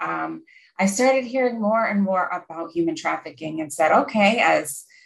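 Someone speaks at a moderate pace with an American accent. The voice is somewhat breathy. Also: woman. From Pennsylvania, US Northeast. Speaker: clinical social worker and counselor. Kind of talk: interview.

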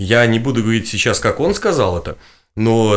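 A man talks in a plain, everyday voice at a medium pitch. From Belarus, Gomel. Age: 20s. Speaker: political activist and blogger. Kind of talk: interview testimony.

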